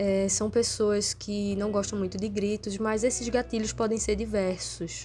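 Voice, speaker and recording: A soft-spoken woman at a fairly slow pace. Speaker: vlogger. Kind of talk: casual vlog monologue. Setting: at home.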